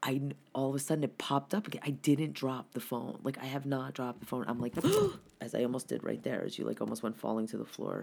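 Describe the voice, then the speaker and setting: An animated man talks at a very fast pace and medium pitch, with vocal fry and ordinary pitch variation. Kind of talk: casual chat. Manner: loud.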